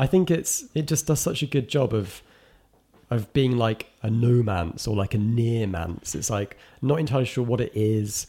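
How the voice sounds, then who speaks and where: A somewhat breathy man speaks at a medium pitch and a moderate pace. His tone is dark and mellow, with lively intonation. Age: 30s. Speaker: film critic. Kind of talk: casual chat.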